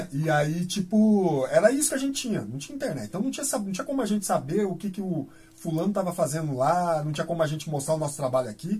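Speech races at a very fast pace with hardly any pauses and very wide pitch swings. Music plays in the background. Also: man, high pitch for a man. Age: 40s. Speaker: graffiti artist. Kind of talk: casual interview. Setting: radio studio.

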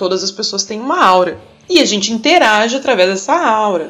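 A woman with a fairly high voice swings her pitch very widely while music plays in the background. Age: 30s. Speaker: biology teacher. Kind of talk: explanatory talk.

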